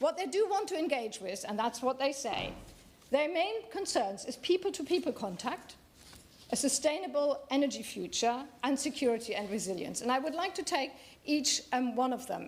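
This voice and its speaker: At a moderate pace, a woman talks in a high pitch with very wide pitch swings. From Germany. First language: German. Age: 60s. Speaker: member of parliament. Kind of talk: parliamentary debate speech. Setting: parliament chamber. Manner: halting.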